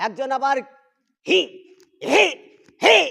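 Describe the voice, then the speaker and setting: The voice is raised and projected, with a bright, sharp tone. The delivery is animated. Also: man. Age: old. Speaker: Islamic preacher. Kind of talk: religious talk on a livestream. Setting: live stream.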